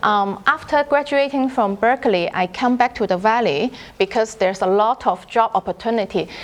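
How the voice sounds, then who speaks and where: A woman with a Chinese accent talks at a fairly high pitch with ordinary pitch variation amid noticeable background noise. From China. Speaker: food scientist. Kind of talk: lecture. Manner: halting.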